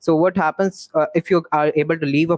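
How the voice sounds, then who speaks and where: Over a quiet background, the fairly quick speech has fairly even intonation and a dry sound with no echo. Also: man. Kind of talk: online summit talk. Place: home room.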